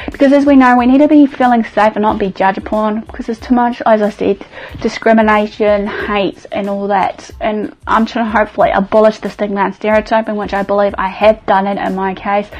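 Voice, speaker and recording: A woman with a New Zealand accent speaks at a fairly quick pace with hardly any pauses. Her voice is fairly high with ordinary pitch variation, over noticeable background noise. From New Zealand, Manawatu region. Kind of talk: casual monologue.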